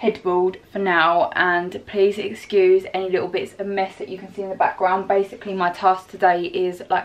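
A woman talks at a moderate pace with hardly any pauses. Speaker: fitness vlogger. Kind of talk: casual vlog chat. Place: home room. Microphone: phone near.

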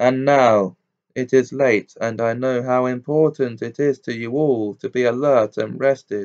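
Over a quiet background comes a natural reading voice.

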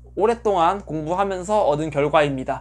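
The pace of this man's speech is fairly quick. His intonation is lively. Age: 30s. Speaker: pet bird YouTuber, office worker; pet bird YouTuber. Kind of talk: casual Q&A monologue. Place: home room.

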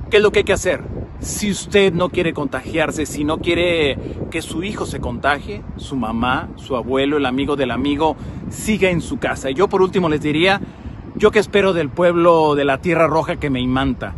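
Over noticeable background noise, a man talks at a moderate pace in a fairly high voice with ordinary pitch variation, the sound dry with no echo. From Mexico, Jalisco (Tepatitlán); Jalisco, Mexico. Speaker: TV news correspondent. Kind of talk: public service message. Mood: earnest, concerned. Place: street. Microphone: phone near.

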